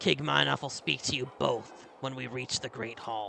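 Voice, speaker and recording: A man puts on a raspy character voice at a moderate pace, pitched in the middle range for a man. His pitch swings very widely, and background noise is clearly audible. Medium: game stream. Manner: gruff, no-nonsense.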